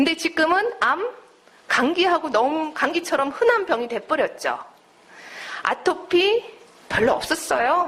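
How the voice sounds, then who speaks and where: A woman with a slight non-native accent speaks at a very slow pace in an extremely high pitch, her pitch swinging very widely while her loudness stays very even. Long, frequent pauses break up her speech, and there is noticeable background noise. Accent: slightly non-native Korean. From United States. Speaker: naturopathic doctor and lecturer. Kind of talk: lecture.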